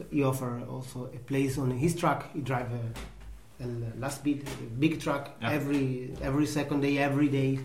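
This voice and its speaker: Against noticeable background noise and audible room echo, a man speaks with an Italian accent in a monotone, flat intonation. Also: medium pitch for a man, moderate pace. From Italy. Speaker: pasta maker, farm worker. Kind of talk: interview. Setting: at home. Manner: halting.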